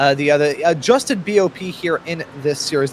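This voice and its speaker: The American accent is heard over noticeable background noise. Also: man. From US Northeast, Philadelphia. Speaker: sim racing commentator. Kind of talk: live commentary.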